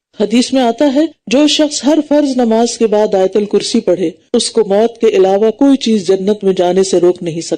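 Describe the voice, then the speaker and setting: A dark, mellow tone with lively intonation and very even loudness. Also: woman, fairly high pitch for a woman. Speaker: Islamic scholar giving a tafseer lecture. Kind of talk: religious lecture (bayan).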